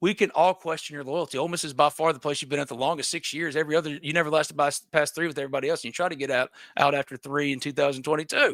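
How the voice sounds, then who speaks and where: A man with an American accent at a very fast pace, fairly high-pitched, dry and close with no echo. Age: 40s. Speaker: sports reporter and show host. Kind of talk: commentary monologue. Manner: loud; animated.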